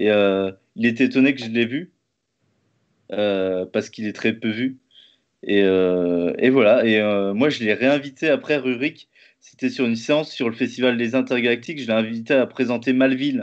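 Against a quiet background, a man speaks at a moderate pace. He leaves long, frequent pauses, and his pitch variation is ordinary. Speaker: interviewer, live stream host. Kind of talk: casual interview. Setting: live stream, video call. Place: home room. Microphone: webcam.

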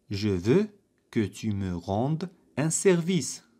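An Arabic accent on a very clean recording with a silent background. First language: Arabic (speaking French). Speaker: French language teacher. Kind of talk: tutorial. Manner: slow, repetitive drill phrasing.

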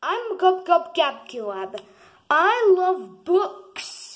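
At an extremely high pitch and a very slow pace, the speaker uses a cartoonish character voice. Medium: puppet.

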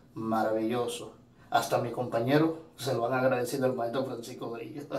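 The intonation stays fairly even. Room echo is audible. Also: man. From Dominican Republic. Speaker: student testimonial giver. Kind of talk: testimonial. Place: home room. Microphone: phone near.

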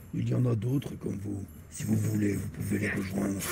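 A man puts on a character voice with a very deep, low pitch at a fairly quick pace. Loud background noise runs underneath.

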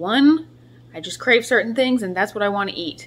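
A woman speaks in a bright, sharp tone. Light background noise can be heard. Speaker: vlogger. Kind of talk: casual vlog chat. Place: kitchen. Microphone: phone near.

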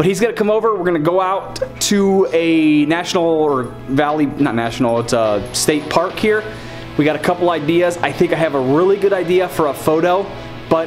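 Over clear background music, a man talks at a moderate pace and a high pitch with ordinary pitch variation. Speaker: vlogger. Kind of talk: casual vlog chat. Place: home room. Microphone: phone near.

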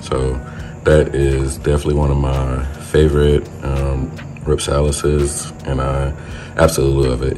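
With faint music in the background, a man speaks in a very deep, low voice with monotone, flat intonation. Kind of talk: casual vlog chat. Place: home room. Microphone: phone near.

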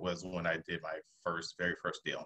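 Fairly low-pitched male voice with an American accent, a bright, sharp tone and a quiet background. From US South. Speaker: real estate investor; guest. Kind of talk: webinar presentation. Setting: video call. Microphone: video call.

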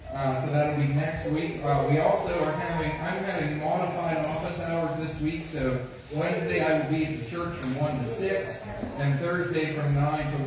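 A man at a moderate pace with fairly even intonation, strong room echo and noticeable background noise. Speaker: pastor giving announcements. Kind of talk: church announcements. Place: church. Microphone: camera far.

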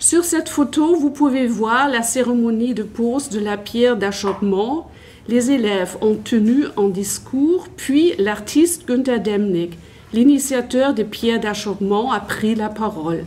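A woman's fairly high voice with a German accent, lively intonation and a very slow pace. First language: German (speaking French). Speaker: history teacher and academic; history teacher. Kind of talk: conference talk. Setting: conference with audience. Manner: halting. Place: hall. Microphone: handheld.

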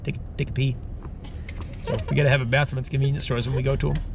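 Speaking very fast, a man is recorded with a dry sound with no echo and noticeable background noise. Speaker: travel vlogger. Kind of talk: casual vlog chat. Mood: playful, joking. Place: car. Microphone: phone near.

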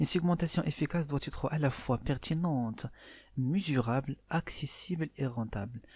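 Speaking at a very fast pace, a man with a fairly high pitch and ordinary pitch variation sounds somewhat breathy on a very clean recording with a silent background. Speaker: marketing teacher. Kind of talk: lecture. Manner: reads French definitions then explains in Darija.

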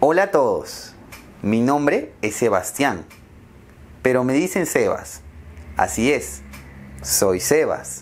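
A man at a very slow pace, with long, frequent pauses. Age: 20s. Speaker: language teacher. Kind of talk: slow scripted speech for learners. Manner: slow, clear. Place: home room.

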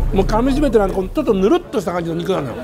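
A man's voice is heard alongside clear background music. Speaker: food vlogger. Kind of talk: casual food review chat. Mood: delighted, savoring. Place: bar. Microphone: phone near.

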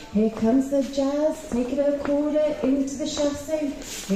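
A woman's voice comes with audible room echo and light background noise. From England. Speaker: line dance instructor. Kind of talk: dance teaching workshop. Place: hall. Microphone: pa.

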